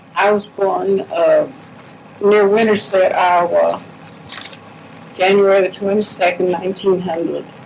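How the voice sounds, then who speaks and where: With an American accent, a woman speaks at a fairly slow pace in a medium pitch with monotone, flat intonation and long, frequent pauses, over noticeable background noise. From US Midwest, Grandview, Missouri. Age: 80s+. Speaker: elderly local resident. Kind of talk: oral history interview.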